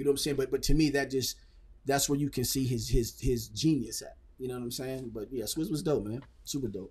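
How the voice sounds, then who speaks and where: A somewhat breathy man at a fairly quick pace, with ordinary pitch variation and big swings in loudness. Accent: American. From Phoenix, Arizona; Arizona. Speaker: rapper; podcast guest. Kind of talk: casual interview. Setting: studio. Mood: relaxed, animated. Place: studio. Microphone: studio mic.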